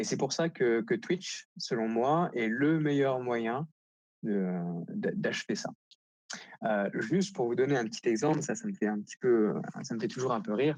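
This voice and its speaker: Against a quiet background, a man with a fairly high pitch speaks at a fairly slow pace with very wide pitch swings and long, frequent pauses. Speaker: marketing director. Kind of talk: conference keynote. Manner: hesitant, many fillers.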